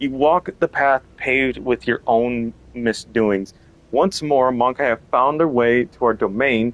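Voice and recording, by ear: A text read out loud in a natural voice.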